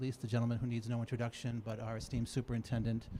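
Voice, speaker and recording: A man with an American accent speaks in a dark, mellow tone that is somewhat breathy. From Massachusetts. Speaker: committee chairman. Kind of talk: public meeting address.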